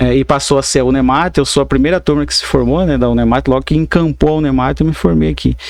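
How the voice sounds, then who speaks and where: Noticeable background noise behind a very fast-talking man. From Mato Grosso, Brazil (Alto Paraguai). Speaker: lawyer and university professor. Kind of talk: podcast interview. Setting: studio podcast, live.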